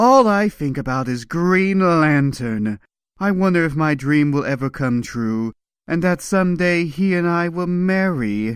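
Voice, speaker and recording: Using a put-on character voice, a man speaks at a fairly high pitch and a moderate pace with lively intonation, on a very clean recording with a silent background. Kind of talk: comic book reading.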